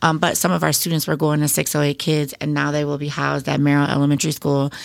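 On a very clean recording with a silent background, a woman with a very deep, low pitch speaks in an Upper Midwest accent. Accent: Upper Midwest American. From Wisconsin, Beloit. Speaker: elementary school principal. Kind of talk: interview.

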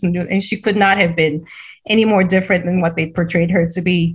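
Talking at a fairly quick pace, a woman holds a medium pitch in a somewhat breathy voice with monotone, flat intonation. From Cameroon. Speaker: head of a school for refugee girls. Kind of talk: interview conversation.

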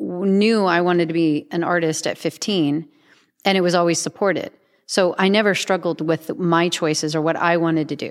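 A woman with a fairly low pitch has a normal speaking voice and fairly even intonation. The recording is very clean, with a silent background. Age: 40s. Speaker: artist. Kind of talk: casual chat.

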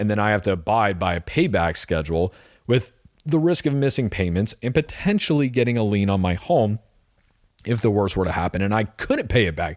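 A normal speaking voice from a man, fairly low-pitched and fairly quick in pace. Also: lively intonation. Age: 30s. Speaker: personal finance podcast host. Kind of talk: solo monologue podcast. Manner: casual with frequent fillers.

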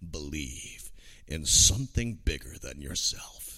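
A man puts on a character voice, very deep and low in pitch, at a fairly slow pace.

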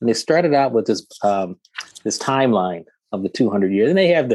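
Here a man speaks at a fairly quick pace. The sound is dry and close, with no echo. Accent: American. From Detroit, Michigan. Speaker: physician. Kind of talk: interview. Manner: halting.

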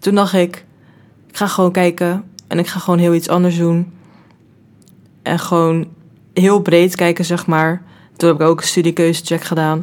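The woman's voice is fairly low in pitch, with monotone, flat intonation. She moves at a fairly slow pace and pauses often and at length. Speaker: student podcast host. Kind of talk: casual chat.

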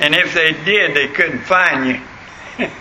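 With a Southern US accent, a man speaks in fairly even intonation amid noticeable background noise. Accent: Southern US rural. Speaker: pastor. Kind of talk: sermon. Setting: church. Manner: folksy, hesitant with frequent fillers.

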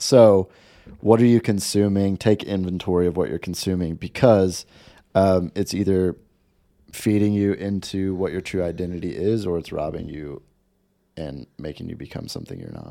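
At a moderate pace, a man with a very deep, low pitch and a dark, mellow tone speaks with big swings in loudness on a very clean recording with a silent background. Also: ordinary pitch variation. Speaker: podcast co-host. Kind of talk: casual chat podcast.

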